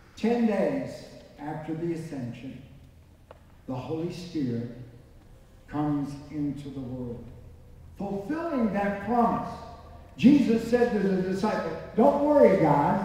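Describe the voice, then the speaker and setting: Strong room echo surrounds a man who speaks at a fairly slow pace in an animated tone, with very wide pitch swings and long, frequent pauses. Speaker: preacher. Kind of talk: sermon. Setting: church with congregation. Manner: animated, fervent preaching with repetition and call-and-response; rising, rhythmic, emphatic. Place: church. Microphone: camera far.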